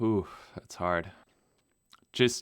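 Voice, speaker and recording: A German accent on a very clean recording with a silent background. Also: man. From Namibia. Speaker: pilot and video creator. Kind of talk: podcast interview. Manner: casual, hesitant with fillers.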